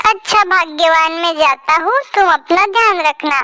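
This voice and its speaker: A cartoonish character voice speaks at an extremely high pitch and a fairly slow pace. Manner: gentle, comforting.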